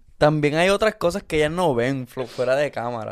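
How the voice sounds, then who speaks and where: On a very clean recording with a silent background, a man with a fairly high pitch speaks in an animated tone at a fairly quick pace, with ordinary pitch variation. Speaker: podcast co-host, content creator. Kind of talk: casual chat.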